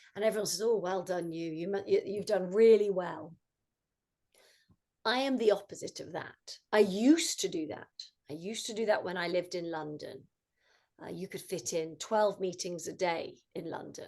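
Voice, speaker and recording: A woman's medium-pitched voice with a British accent, moderate pace and ordinary pitch variation. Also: big swings in loudness. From England. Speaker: mindfulness coach. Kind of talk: talk to student club.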